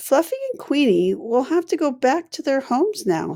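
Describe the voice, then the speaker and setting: A woman puts on a character voice. She pitches it high and keeps a moderate pace. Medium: read story. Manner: soft, sad.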